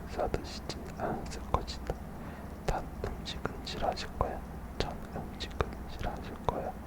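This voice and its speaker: The words come out as a whisper at a fairly slow pace. There is noticeable noise in the background. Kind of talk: whispered book reading for sleep. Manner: whispered, soft, slow.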